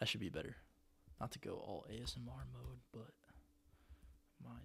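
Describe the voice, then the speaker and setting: The man is soft-spoken. He talks at a fairly quick pace. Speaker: livestreamer discussing AI. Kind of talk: casual livestream monologue. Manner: halting. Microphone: quiet relative to device audio.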